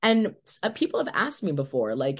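A woman speaks with vocal fry and very wide pitch swings. The background is quiet. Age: 20s. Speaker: podcast guest, social media creator. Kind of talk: casual interview chat. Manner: halting, many fillers.

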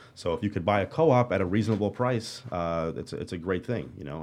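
The speaker talks at a very fast pace with a Brooklyn accent. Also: man. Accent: New York (Brooklyn). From Brooklyn, New York City (Marine Park). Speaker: real estate agent. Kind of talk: interview. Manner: casual, many fillers and repetitions.

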